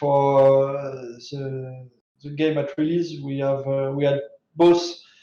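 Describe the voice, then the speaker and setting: Audible room echo surrounds a man with a fairly high pitch. He talks at a fairly slow pace in a monotone, flat intonation. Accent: French. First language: French. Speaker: game developer. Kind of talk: interview answers. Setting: live stream. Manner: halting, many fillers.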